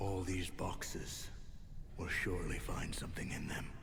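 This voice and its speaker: Over loud background noise, a man whispers in a put-on character voice at a moderate pace. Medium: video game. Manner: terse, grim.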